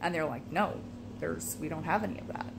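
Noticeable background noise runs beneath a woman talking at a very fast pace. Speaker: vlogger. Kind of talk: casual vlog chat. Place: home room. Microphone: phone near.

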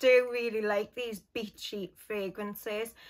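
On a very clean recording with a silent background, a woman with a Geordie accent speaks very slowly in a bright, sharp tone. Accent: Geordie (Newcastle). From northern England, Newcastle. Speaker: beauty and fragrance YouTuber. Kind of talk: casual vlog talk to camera.

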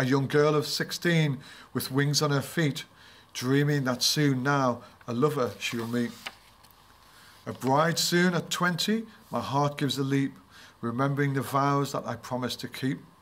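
This man talks at a moderate pace with ordinary pitch variation. His speech has long, frequent pauses. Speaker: book reviewer. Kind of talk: reading aloud a poem in a book review.

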